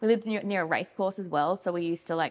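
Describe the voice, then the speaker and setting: With an Australian accent, a woman speaks at a fairly low pitch. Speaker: wool industry communications manager. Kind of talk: casual interview.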